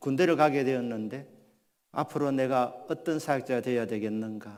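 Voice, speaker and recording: A man speaks in an ordinary speaking voice at medium pitch, with ordinary pitch variation and a moderate pace. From Gyeongsang region, South Korea. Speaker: pastor. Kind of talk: sermon.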